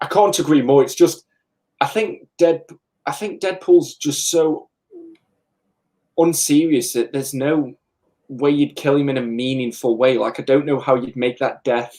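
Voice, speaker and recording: A man speaks in a Staffordshire accent at a fairly high pitch with ordinary variation. He leaves long, frequent pauses. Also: moderate pace. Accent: English, Stoke-on-Trent. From England. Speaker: comic book YouTuber. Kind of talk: casual live chat.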